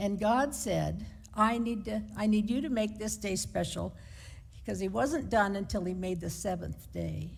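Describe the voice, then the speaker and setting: Audible room echo surrounds a woman speaking at a moderate pace with an American accent. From United States. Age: 70s. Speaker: lay preacher. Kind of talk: sermon. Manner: conversational.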